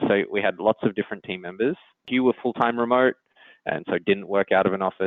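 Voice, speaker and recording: A man speaks with an Australian accent. His pace is fairly quick and his intonation fairly even. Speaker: engineering executive. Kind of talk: interview. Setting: podcast.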